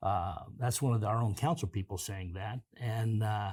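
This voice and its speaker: A somewhat breathy voice with an American accent on a very clean recording with a silent background. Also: man. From Kansas. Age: 60s. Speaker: city councilman. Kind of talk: interview.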